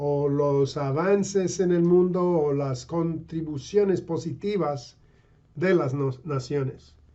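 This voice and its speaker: A man with a high pitch and a non-native accent speaks at a very slow pace with fairly even intonation. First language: English (speaking Spanish). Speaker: pastor and missionary. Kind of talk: sermon. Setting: online video. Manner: halting.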